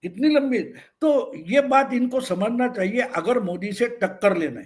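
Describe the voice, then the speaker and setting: The intonation is lively and the loudness swings widely. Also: man, extremely high pitch for a man. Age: 70s. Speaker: senior political commentator. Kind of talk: political interview commentary. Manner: occasional stammering restarts.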